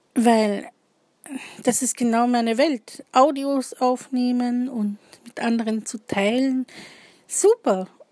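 At a very slow pace, a woman speaks with high pitch and fairly even intonation, big swings in loudness, and long, frequent pauses. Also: dry, close sound with no echo. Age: 30s. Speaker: podcaster and poet. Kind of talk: casual personal introduction monologue.

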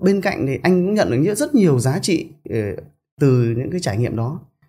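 With very wide pitch swings, a man talks at a fairly quick pace in a fairly high, somewhat breathy voice. His tone is dark and mellow. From northern Vietnam, Bac Giang province. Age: 40s. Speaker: entrepreneur and company chairman. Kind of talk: interview storytelling. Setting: studio office.

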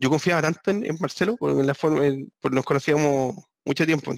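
The speaker has a Chilean accent and ordinary pitch variation, heard in a dry, close sound with no echo. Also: man. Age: 40s. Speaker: guitarist and entrepreneur. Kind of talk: casual chat. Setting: video call.

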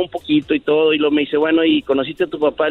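Pitched fairly high, a man with an unremarkable speaking voice keeps his intonation fairly even. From Monterrey, northern Mexico. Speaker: caller. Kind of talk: personal story told on a radio call.

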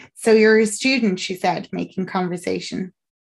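Reading done in an unforced reading voice

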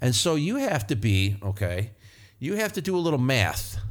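Lively intonation and an American accent come through on a very clean recording with a silent background. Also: man. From northern US. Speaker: podcast host, auto mechanic. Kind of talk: casual monologue. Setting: studio, alone at a microphone. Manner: animated, laughing often.

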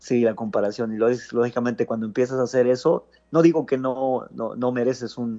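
At a moderate pace, the voice carries a dark, mellow tone and fairly even intonation. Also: man. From Matamoros, Mexico. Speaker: pastor. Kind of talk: casual chat. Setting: phone call.

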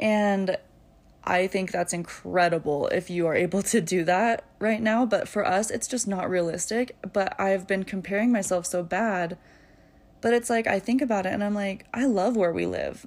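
An ordinary speaking voice from a woman, medium in pitch, at a moderate pace with ordinary pitch variation. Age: 20s. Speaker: podcast host, young mother. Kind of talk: casual solo monologue. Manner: casual, frequent filler ums.

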